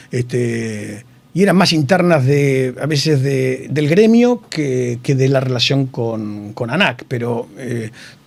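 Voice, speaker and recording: A man speaks at a very slow pace with hardly any pauses and ordinary pitch variation. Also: medium pitch for a man. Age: 60s. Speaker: engineer and hospital director. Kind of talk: interview. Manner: halting, many fillers.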